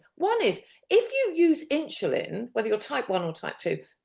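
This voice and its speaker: A woman speaks with a British accent. Her tone is animated. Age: 70s. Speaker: diabetes specialist nurse and coach. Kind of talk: interview conversation.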